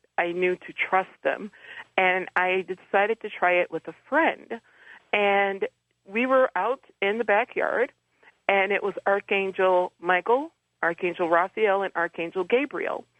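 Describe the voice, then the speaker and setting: Here a woman speaks in a plain, everyday voice with an American accent. Her pitch is medium, with ordinary variation. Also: fairly slow pace. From Detroit, US Midwest. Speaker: angel medium and author. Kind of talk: radio interview.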